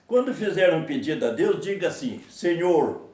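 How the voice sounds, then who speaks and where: A man's voice with a dark, mellow tone carries audible room echo. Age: 80s+. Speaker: lay preacher. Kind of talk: sermon.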